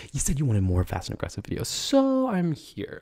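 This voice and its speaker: A man speaks against a quiet background. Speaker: ASMR creator. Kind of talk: casual talk to camera, ASMR. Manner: conversational, chatty. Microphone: studio mic.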